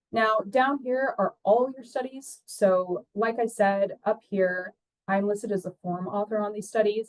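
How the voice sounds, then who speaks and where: The sound is dry and close, with no echo. Pitch varies an ordinary amount. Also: woman. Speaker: research compliance analyst. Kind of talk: tutorial. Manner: fast.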